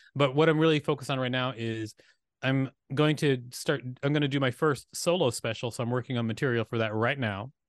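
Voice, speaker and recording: With an American accent, a man speaks at a fairly quick pace and medium pitch in an animated tone, the sound dry and close with no echo against a quiet background. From US South (Huntsville, Alabama). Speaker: comedian and filmmaker. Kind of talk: casual chat. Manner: animated, laughs often.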